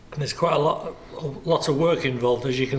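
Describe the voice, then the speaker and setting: With noticeable background noise, a man talks at a moderate pace in a fairly high pitch, his intonation monotone and flat. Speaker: museum guide. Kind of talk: guided tour narration.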